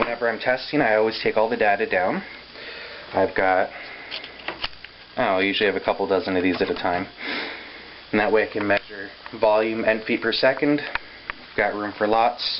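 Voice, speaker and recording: Fairly quick speech from a man with a fairly low pitch, amid noticeable background noise. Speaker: paintball equipment tester. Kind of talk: casual talk to camera. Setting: poor camera microphone.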